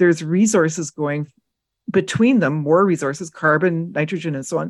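The speaker has a Canadian accent and ordinary pitch variation. The background is quiet. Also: woman. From western Canada. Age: 60s. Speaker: forest ecology professor. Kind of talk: interview. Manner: animated; halting.

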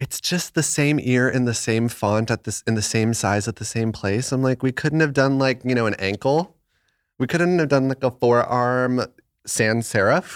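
A man with an American accent speaks at a moderate pace in an unremarkable speaking voice, his pitch medium. The recording is very clean and dry, close with no echo, over a silent background. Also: ordinary pitch variation. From Arizona. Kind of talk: casual chat. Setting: home studio.

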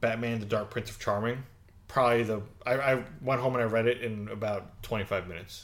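A man talks in a plain, everyday voice at a fairly quick pace. His pitch is medium and his intonation fairly even. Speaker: podcast co-host. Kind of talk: casual chat.

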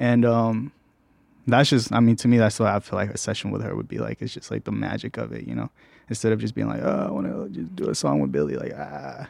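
A man's very deep, low voice with vocal fry and very wide pitch swings, at a very fast pace against a quiet background. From Mexico, raised in Riverdale, Georgia. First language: Spanish. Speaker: music producer. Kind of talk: casual chat. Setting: studio.

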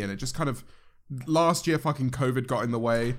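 A man with a British accent talks at a very fast pace, his medium pitch carried by lively intonation. The recording is very clean, with a silent background. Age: 20s. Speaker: YouTuber. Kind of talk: casual chat.

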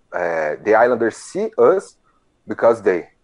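Here a man speaks with a Brazilian accent. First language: Portuguese. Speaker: hockey fan community organizer. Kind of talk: interview. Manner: halting.

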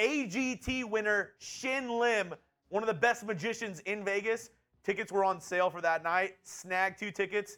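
This man's voice is raised and projected, high in pitch, with a bright, sharp tone. He speaks at a fairly slow pace with ordinary pitch variation. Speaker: co-host. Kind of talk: casual live sports talk show.

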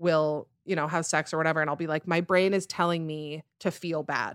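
A woman with a Western US accent has a fairly low voice and a bright, sharp tone. The recording is very clean, with a silent background. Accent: American, Western US. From Utah, Salt Lake City. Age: 20s. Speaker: podcaster. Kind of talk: casual chat. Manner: fast.

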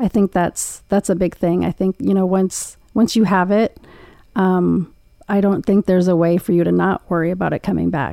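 This soft-spoken voice has a dark, mellow tone and very even loudness, with a dry, close sound with no echo in a very clean recording with a silent background. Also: woman, medium pitch for a woman, moderate pace. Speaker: breast cancer survivor. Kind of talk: casual interview chat.

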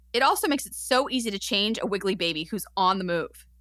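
In a very clean recording with a silent background, a woman talks at a fairly quick pace in an ordinary speaking voice. Her medium pitch carries lively intonation. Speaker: podcast co-host. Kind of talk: casual chat.

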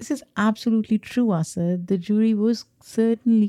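A woman talks at a fairly slow pace with a dark, mellow tone and fairly even intonation. The sound is dry and close, with no echo. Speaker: podcast co-host. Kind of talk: casual discussion.

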